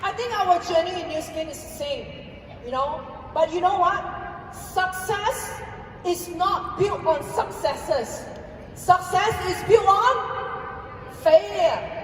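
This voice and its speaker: Over noticeable background noise and audible room echo, a woman with an extremely high pitch speaks very slowly, with ordinary pitch variation and big swings in loudness. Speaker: network marketing distributor giving a recognition speech. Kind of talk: motivational stage speech. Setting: stage with audience.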